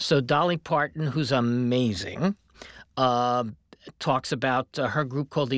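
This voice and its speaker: Recorded very cleanly against a silent background, a man talks at a moderate pace in an unremarkable speaking voice, with ordinary pitch variation and a dry, close sound with no echo. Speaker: television and radio producer. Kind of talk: interview conversation on a podcast.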